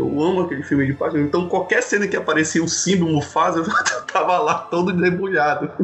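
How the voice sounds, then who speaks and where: A man's high-pitched voice, fairly quick, with ordinary pitch variation and noticeable background noise. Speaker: podcaster. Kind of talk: casual chat.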